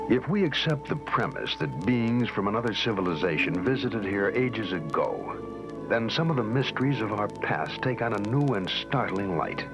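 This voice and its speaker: Music plays in the background as the speaker uses a dramatic tone and lively intonation. The delivery moves at a moderate pace with hardly any pauses. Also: man, medium pitch for a man. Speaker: documentary narrator. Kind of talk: dramatic documentary narration. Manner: dramatic, measured.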